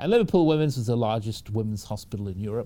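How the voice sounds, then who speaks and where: Very fast speech in a British accent, with a dark, mellow tone and ordinary pitch variation, comes through on a very clean recording with a silent background. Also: man. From northern England (Manchester). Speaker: hospital technology executive and physician. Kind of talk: interview.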